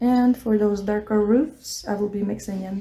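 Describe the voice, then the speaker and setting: A woman with a non-native accent at a moderate pace, fairly high pitch, and ordinary pitch variation. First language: not English. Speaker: art tutor. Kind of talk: tutorial. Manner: casual, hesitant.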